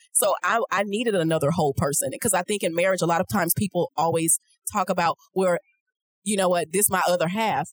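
A woman with medium pitch and ordinary pitch variation talks at a fairly quick pace in a plain, everyday voice, recorded with a dry, close sound and no echo. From Houston, Texas. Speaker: financial coach and podcaster. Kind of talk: casual interview chat. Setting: expo floor booth at a conference.

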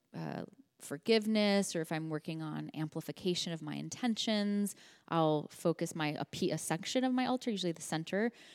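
A woman with a plain, everyday voice and an American accent, fairly low in pitch, at a fairly quick pace with lively intonation, in a very clean recording with a silent background. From Los Angeles, California. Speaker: founder of a card deck brand and intuition teacher. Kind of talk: casual interview chat.

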